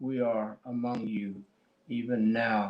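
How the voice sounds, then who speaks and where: With a Cheyenne accent, a man speaks at medium pitch in a monotone, flat intonation. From Oklahoma, US (Cheyenne). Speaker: poet. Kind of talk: poetry reading with discussion. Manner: halting, many fillers.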